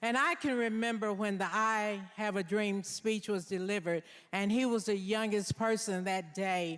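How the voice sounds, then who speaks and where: With ordinary pitch variation and a medium pitch, a woman talks at a fairly slow pace. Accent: Southern US. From US South, Nashville, Tennessee. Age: 70s. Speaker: deputy mayor. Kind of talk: public speech. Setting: stage with audience. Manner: emotional, emphatic.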